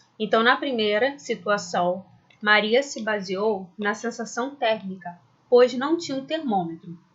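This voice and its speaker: An ordinary speaking voice at a fairly slow pace with ordinary pitch variation. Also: woman, fairly high pitch for a woman. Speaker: school science teacher. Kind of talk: lecture. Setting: recorded video lesson.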